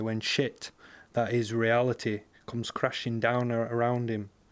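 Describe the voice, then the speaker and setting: In a West Yorkshire accent, a man speaks at medium pitch with a monotone, flat intonation on a very clean recording with a silent background. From West Yorkshire, Bradford. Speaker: short story writer. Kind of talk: reading aloud.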